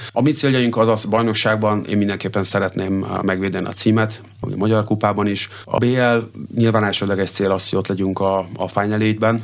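Over noticeable background noise, a man talks at a fairly quick pace in a fairly low pitch with flat, monotone intonation. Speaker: water polo head coach. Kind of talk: radio interview. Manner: halting, many fillers and repetitions.

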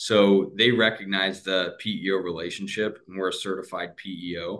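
Using a plain, everyday voice, a man with an American accent and a fairly low pitch speaks at a moderate pace. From US Midwest, Cleveland, Ohio. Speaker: sales manager. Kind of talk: interview.

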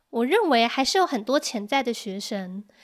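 A woman's high-pitched voice with a Taiwanese accent, in a very clean recording with a silent background. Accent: Taiwanese Mandarin. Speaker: Mandarin teacher. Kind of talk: interview.

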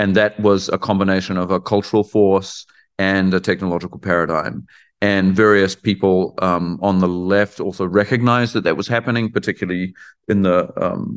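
In a New Zealand accent, a man speaks at a fairly low pitch and a moderate pace with fairly even intonation against a quiet background. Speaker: artist and art professor. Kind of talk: interview conversation. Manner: hesitant, many fillers and repetitions.

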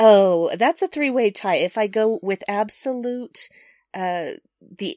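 A woman with an American accent has an unremarkable speaking voice. She talks at a fairly slow pace with lively intonation. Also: dry, close sound with no echo. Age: 40s. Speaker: podcast guest, gamer. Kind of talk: casual chat. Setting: remote call across time zones.

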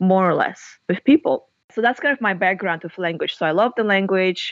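Fairly quick delivery with a Russian accent and lively intonation. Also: woman. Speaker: novelist and university lecturer. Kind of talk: interview.

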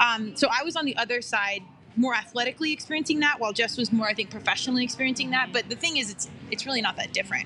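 Over music in the background, a woman with an American accent speaks very fast at a high pitch with ordinary pitch variation. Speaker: podcast host. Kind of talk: casual chat. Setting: coffee shop, live.

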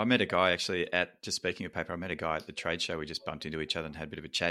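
Very deep and low yet bright and sharp in tone, a man with an Australian accent talks at a very fast pace with fairly even intonation in a very clean recording with a silent background. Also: hardly any pauses. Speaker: podcast host. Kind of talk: scripted narration; interview.

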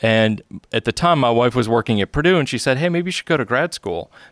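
In a very clean recording with a silent background and a dry, close sound with no echo, a man with an American accent and an ordinary speaking voice speaks at medium pitch with lively intonation. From upstate New York. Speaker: photography lecturer. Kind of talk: casual chat.

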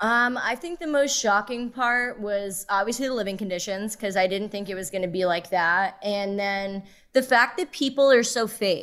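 A woman with a Philadelphia accent speaks at a moderate pace and medium pitch, with ordinary pitch variation and hardly any pauses, on a very clean recording with a silent background. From Philadelphia, US. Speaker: reality TV contestant. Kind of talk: interview. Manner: loud; animated.

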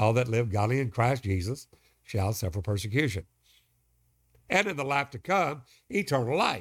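In a very clean recording with a silent background, a somewhat breathy man at medium pitch speaks at a moderate pace with very wide pitch swings. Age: 70s. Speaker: preacher. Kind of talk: sermon.

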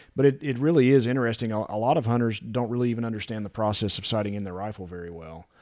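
In an American accent, a man with a dark, mellow tone talks at a very fast pace with hardly any pauses and big swings in loudness. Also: medium pitch for a man, ordinary pitch variation. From West Virginia. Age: 40s. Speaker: gunsmithing instructor. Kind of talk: casual chat. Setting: studio.

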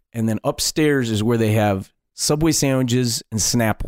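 Recorded dry and close with no echo on a very clean track with a silent background, a man of medium pitch talks at a moderate pace. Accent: Midwestern American. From Detroit, Michigan. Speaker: comedian and wedding DJ. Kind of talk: casual interview storytelling.

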